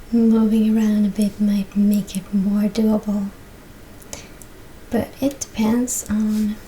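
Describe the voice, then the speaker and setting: Soft-spoken speech moves at a very slow pace, broken by long, frequent pauses. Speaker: yoga and stretching instructor. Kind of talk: exercise instruction to camera.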